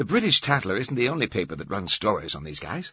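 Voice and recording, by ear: Using a put-on character voice, a man speaks fast at a fairly low pitch, with a bright, sharp tone, a husky, rough edge and big pitch swings.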